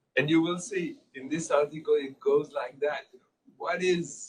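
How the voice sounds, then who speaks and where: Someone speaks with a French accent at a moderate pace. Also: man. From Switzerland (French-speaking, Geneva). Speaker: public health scientist and journal editor. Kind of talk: informal small group Q&A discussion. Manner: halting, with repetitions and fillers.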